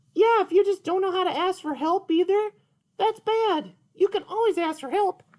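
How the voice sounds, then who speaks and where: A man puts on a cartoonish character voice. His pitch is extremely high. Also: moderate pace. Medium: puppet.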